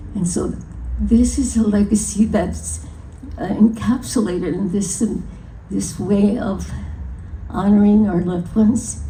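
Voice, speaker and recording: Audible room echo surrounds a woman with a medium pitch. She speaks at a fairly slow pace with fairly even intonation and long, frequent pauses. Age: 90s. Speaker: folk artist and honoree. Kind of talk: acceptance speech. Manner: halting.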